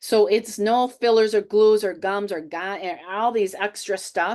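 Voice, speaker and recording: A woman speaks in a normal speaking voice at a fairly high pitch. Her pace is fairly slow, with a quiet background. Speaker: health and fitness coach. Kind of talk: webinar presentation. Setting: online webinar.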